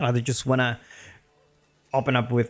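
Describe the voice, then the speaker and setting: A man's voice over background music. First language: Spanish. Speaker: video game commentator. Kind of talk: live game commentary. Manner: casual, hesitant with fillers.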